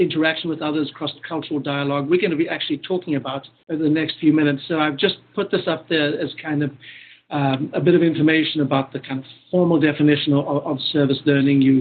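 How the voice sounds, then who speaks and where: A man with a South African accent speaks at a very fast pace. His fairly high voice stays monotone and flat. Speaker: professor. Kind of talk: lecture.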